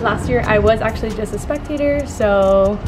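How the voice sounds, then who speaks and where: Behind a woman's speech, music can be heard. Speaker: car enthusiast vlogger. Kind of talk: casual vlog chat. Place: street. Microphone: phone near.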